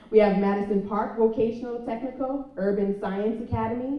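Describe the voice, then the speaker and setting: Audible room echo surrounds a woman speaking in fairly even intonation. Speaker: program coordinator. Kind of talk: ceremony speech.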